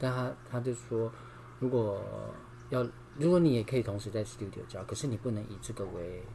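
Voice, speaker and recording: In a Taiwanese accent, a man with a dark, mellow, somewhat breathy tone talks at a fairly quick pace with long, frequent pauses, keeping a medium pitch and ordinary pitch variation. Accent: Taiwanese Mandarin. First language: Taiwanese Hokkien (speaking Chinese). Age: 50s. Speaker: yoga teacher and singer. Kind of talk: casual interview.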